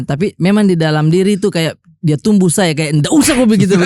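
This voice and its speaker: At a very fast pace, a man with a high pitch and a dark, mellow tone speaks with very even loudness and ordinary pitch variation, the sound dry and close with no echo. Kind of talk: casual, conversational.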